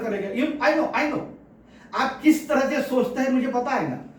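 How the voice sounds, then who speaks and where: An animated voice at a moderate pace with ordinary pitch variation, audible room echo and noticeable background noise. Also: man. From Pune, Maharashtra, India. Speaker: political commentator and author. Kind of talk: opinion monologue. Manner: forceful, blunt; animated, mixing Hindi and English.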